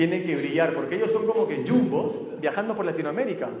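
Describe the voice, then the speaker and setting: Amid noticeable background noise and audible room echo, a man speaks in an animated tone with lively intonation. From not from Arequipa, Peru; father was from there. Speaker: multilevel marketing speaker. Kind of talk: motivational talk. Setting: stage with audience.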